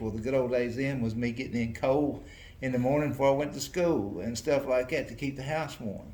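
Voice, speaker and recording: A man with a Southern US accent speaks fairly quickly at a medium pitch with fairly even intonation, amid audible room echo. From US South, North Carolina. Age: 70s. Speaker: retiring mayor. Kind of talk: interview. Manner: halting.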